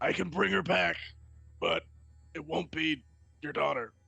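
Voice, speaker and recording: Here a man puts on a character voice. He keeps a moderate pace. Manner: menacing.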